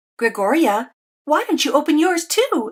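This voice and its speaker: Squeaky and high, a woman's put-on character voice swings very widely in pitch at a moderate pace. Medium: read story.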